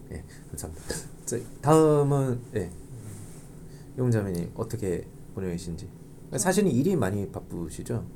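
With a dark, mellow tone, a man at medium pitch talks at a moderate pace, his pitch swinging very widely between long, frequent pauses. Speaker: podcast host at church young adult ministry. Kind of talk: interview, casual chat with guests.

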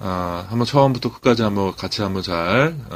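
With lively intonation, a man speaks at a fairly slow pace in a fairly low pitch. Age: 40s. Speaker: Chinese language teacher. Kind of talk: casual monologue; tutorial. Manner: hesitant, many fillers.

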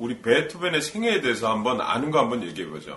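Very wide pitch swings mark a man's speech, heard over noticeable background noise. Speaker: voice professional, podcast host. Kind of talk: casual chat.

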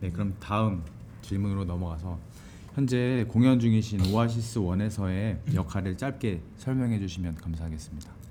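With a dark, mellow tone and fairly low pitch, a man speaks in a room with audible echo. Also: ordinary pitch variation, moderate pace. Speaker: podcast host and stage actor. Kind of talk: interview. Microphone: single shared mic, recorded too quiet.

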